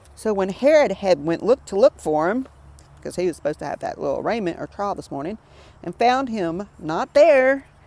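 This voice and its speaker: A woman's medium-pitched voice with a Southern US accent, very wide pitch swings and a moderate pace. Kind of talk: Bible study reading and commentary. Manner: casual, conversational.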